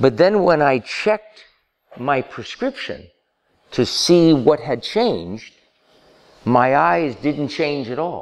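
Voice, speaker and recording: A man talks at a very slow pace with long, frequent pauses. His fairly high voice swings very widely in pitch. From Cuba. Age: 70s. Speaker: speaker on vision and awakening, former eye doctor. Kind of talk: public talk.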